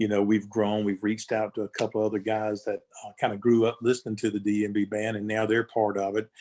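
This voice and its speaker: Over a quiet background, a man with a Southern US accent and a dark, mellow tone talks very fast with hardly any pauses. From North Carolina. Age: 60s. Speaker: gospel musician. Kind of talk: interview. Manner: halting.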